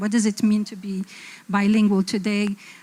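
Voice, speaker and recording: With an Arabic accent, a woman speaks at a medium pitch in a somewhat breathy voice. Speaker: design publisher and panelist. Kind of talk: panel discussion.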